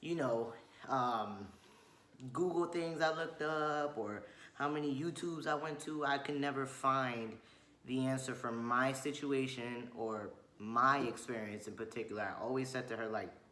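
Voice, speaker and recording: A man with a Spanish accent at a moderate pace, amid noticeable background noise and audible room echo. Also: medium pitch for a man, ordinary pitch variation. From Chile. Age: 20s. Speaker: vlogger. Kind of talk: casual chat.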